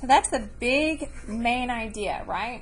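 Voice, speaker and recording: The woman's voice carries some breathiness. She talks very slowly. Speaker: elementary school teacher. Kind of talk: lesson to students.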